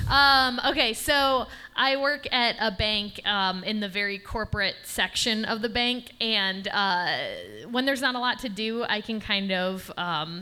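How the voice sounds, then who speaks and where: A woman with an American accent uses an ordinary speaking voice at a medium pitch. She talks at a fairly slow pace with ordinary pitch variation. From Michigan, East Lansing. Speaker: comedian. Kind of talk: stand-up. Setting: stage with audience.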